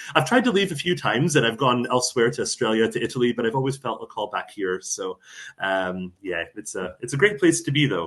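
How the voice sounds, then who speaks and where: With a fairly quick pace, a man speaks in very wide pitch swings. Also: medium pitch for a man. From US, Arizona (born in Buffalo). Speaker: travel organization director, former teacher. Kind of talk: casual interview chat.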